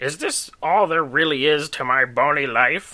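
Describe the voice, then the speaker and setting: A man does a put-on character voice. It is raspy and fairly high in pitch. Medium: read story. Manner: growling when riled.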